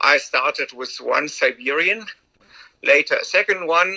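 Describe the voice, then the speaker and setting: A man with a German accent speaks in a dry, close sound with no echo. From Germany. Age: 60s. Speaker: sled dog musher, retired doctor. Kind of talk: interview.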